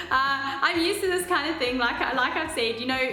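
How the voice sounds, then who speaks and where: A woman speaks loudly and at a fairly quick pace with lively intonation. Music plays in the background, and the room echo is audible. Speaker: reality TV contestant and vlogger. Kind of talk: casual vlog. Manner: halting.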